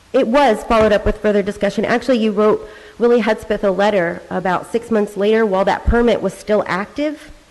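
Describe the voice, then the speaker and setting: Over noticeable background noise, a woman with a fairly high pitch talks at a fairly quick pace with fairly even intonation and very even loudness. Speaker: public commenter at county court meeting. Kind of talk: public comment, questioning an official. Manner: insistent, pressing.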